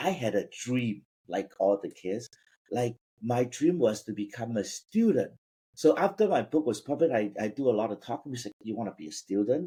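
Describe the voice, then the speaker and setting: Lively intonation and a dark, mellow tone mark this speaker in a Cantonese accent, moving at a moderate pace in a very clean recording with a silent background. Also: man, medium pitch for a man. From Vietnam. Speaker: business founder. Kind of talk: personal story in interview.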